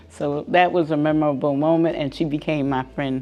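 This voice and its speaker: Noticeable background noise accompanies a woman whose pitch is very deep and low. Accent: American. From Newark, New Jersey. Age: 80s+. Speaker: community resident interviewee. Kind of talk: interview reminiscence. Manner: halting, with fillers.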